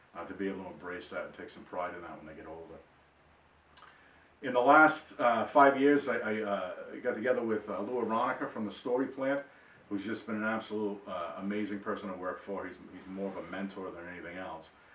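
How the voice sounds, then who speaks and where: A man's fairly low voice with a Boston accent, a fairly quick pace, ordinary pitch variation, big swings in loudness and audible room echo. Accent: Boston-area. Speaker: author. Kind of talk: personal introduction monologue. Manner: hesitant, many fillers and repeats.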